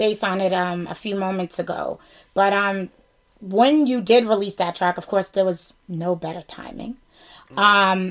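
At a fairly slow pace, a speaker with a Boston accent keeps the intonation fairly even. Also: woman. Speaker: podcast host. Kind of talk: casual interview chat.

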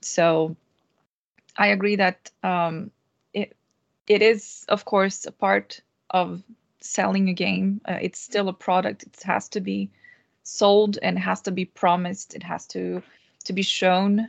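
Very slow speech with long, frequent pauses and big swings in loudness, in a Portuguese accent, dry and close with no echo over a quiet background. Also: woman. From Brazil. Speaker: game QA tester and streamer. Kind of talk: panel discussion. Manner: hesitant, many fillers.

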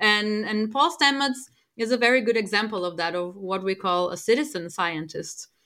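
At a moderate pace, a woman speaks at medium pitch with a bright, sharp tone and ordinary pitch variation, on a very clean recording with a silent background. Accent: Portuguese. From Portugal. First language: Portuguese. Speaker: space microbiologist. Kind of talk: panel talk with audience.

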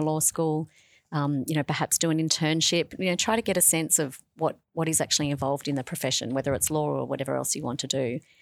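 Speaking at a very fast pace in an Australian accent, a woman has a very deep, low pitch, captured on a very clean recording with a silent background. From Australia, Sydney / New South Wales. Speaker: law professor. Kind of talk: radio interview. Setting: school radio studio.

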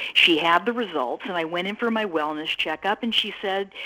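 There is noticeable background noise as a woman speaks at a medium pitch and moderate pace with lively intonation. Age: 60s. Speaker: patient sharing her health story. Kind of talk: testimony. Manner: hesitant with fillers.

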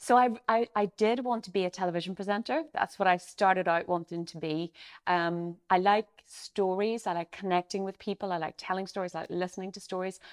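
A woman in a Derry accent, with ordinary pitch variation and hardly any pauses. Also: medium pitch for a woman, fairly quick pace. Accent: Northern Irish, Derry. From Derry, Northern Ireland. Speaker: company CEO. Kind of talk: casual interview chat.

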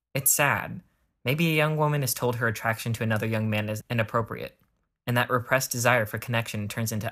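Talking at a very fast pace, a man has a bright, sharp tone at medium pitch with fairly even intonation. The recording is very clean, with a silent background. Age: 20s. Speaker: podcast host. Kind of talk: scripted narration.

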